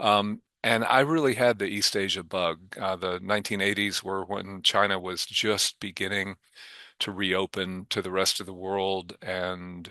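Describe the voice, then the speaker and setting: At a moderate pace, a man talks with very deep, low pitch and a bright, sharp tone. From Kentucky, Louisville. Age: 60s. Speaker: foundation board chair and venture investor. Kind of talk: interview. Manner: halting, many filler ums.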